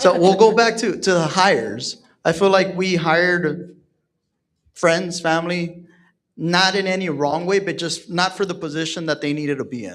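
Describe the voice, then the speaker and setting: Someone with an American accent speaks at a moderate pace with ordinary pitch variation on a very clean recording with a silent background. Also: man, high pitch for a man. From Texas, San Antonio. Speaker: real estate team leader. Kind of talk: panel discussion.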